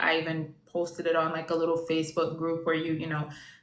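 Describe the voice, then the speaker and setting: A woman with a Jamaican accent speaks fairly quickly in a fairly low voice, with audible room echo and noticeable background noise. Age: 30s. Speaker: IVF patient sharing her story. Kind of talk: casual chat.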